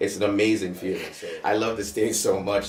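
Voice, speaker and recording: A man speaks with a Caribbean accent. Music plays in the background. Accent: Caribbean island. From St. Maarten, Caribbean. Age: 20s. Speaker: rapper and songwriter. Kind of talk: interview answers.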